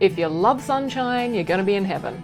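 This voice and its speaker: Over music in the background, a woman with an Australian accent speaks at a moderate pace with an upbeat tone and lively intonation. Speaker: voice actor. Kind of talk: casual talk to camera. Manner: upbeat, humorous.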